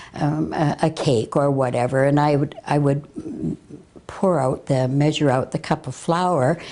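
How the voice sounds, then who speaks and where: A woman speaks with a Canadian accent at a very deep, low pitch. Her pace is fairly slow and her intonation fairly even. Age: 60s. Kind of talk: interview testimony. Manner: halting, with many fillers.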